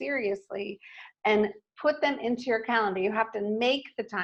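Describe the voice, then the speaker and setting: A woman talks at a fairly quick pace in a fairly high pitch, a normal speaking voice. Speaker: marketing speaker. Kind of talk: presentation. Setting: live stream webinar.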